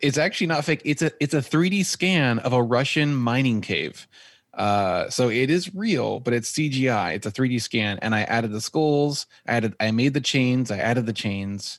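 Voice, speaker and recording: A man with an unremarkable speaking voice and medium pitch talks at a moderate pace with lively intonation. He takes hardly any pauses, and the background is quiet. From Texas. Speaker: photographer and videographer. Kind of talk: casual interview chat. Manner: laughs often.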